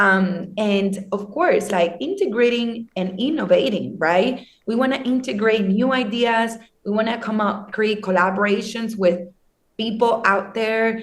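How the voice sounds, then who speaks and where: With audible room echo, a woman talks at a fairly slow pace in a somewhat breathy voice, her pitch fairly high with ordinary pitch variation. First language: not English. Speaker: social media team member of a crypto news channel. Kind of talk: interview conversation. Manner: hesitant, many fillers.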